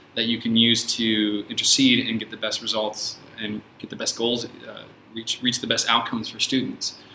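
A man with an American accent talks at a moderate pace and medium pitch, his intonation monotone and flat. His loudness swings widely, and there is noticeable background noise. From San Francisco, US. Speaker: teacher. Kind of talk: casual chat. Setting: studio.

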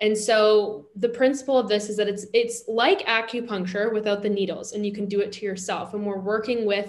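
An unremarkable speaking voice from a woman, fairly high in pitch, at a fairly quick pace with fairly even intonation. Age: 30s. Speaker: body image and confidence coach. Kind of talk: casual interview chat.

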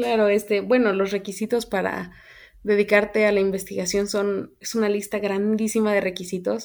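On a very clean recording with a silent background, a woman speaks at a moderate pace in a medium pitch with monotone, flat intonation. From Mexico, Querétaro. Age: 20s. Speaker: biologist. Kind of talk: interview.

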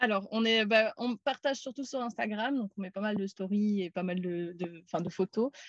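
A woman with an unremarkable speaking voice at medium pitch, ordinary pitch variation, a moderate pace and hardly any pauses, in a dry, close sound with no echo. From Belgium, Namur. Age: 30s. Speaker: van traveller. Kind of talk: casual interview.

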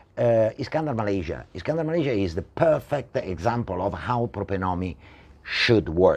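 A man with an Italian accent at a fairly low pitch, a moderate pace and very wide pitch swings. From Italy. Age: 60s. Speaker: property entrepreneur. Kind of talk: talk show interview. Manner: halting.

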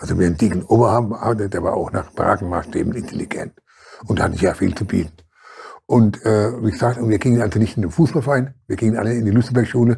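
A man's medium-pitched voice at a very fast pace. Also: ordinary pitch variation. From Germany, Mannheim. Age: 70s. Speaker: former boxer and social worker. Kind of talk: interview. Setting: studio. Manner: halting, repetitive.

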